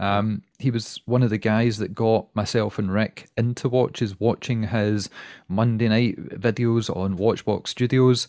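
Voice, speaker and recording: Speaking in a Glaswegian accent, a man delivers his words with monotone, flat intonation. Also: medium pitch for a man, fairly slow pace. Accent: Glaswegian Scottish. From Scotland, Glasgow. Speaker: watch podcaster. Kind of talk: casual interview chat. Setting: home recording, remote call.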